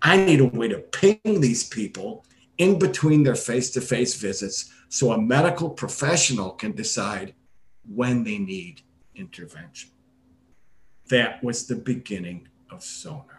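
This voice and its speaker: A man's somewhat breathy voice at medium pitch, fairly slow, with very wide pitch swings. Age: 60s. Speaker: retired gastroenterologist, startup medical officer. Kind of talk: interview.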